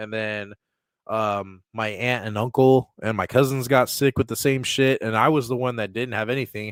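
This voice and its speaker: A man's medium-pitched, flat, monotone voice at a moderate pace, recorded very cleanly with a silent background and a dry, close sound with no echo. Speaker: live streamer. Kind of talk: casual live stream chat. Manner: casual, halting.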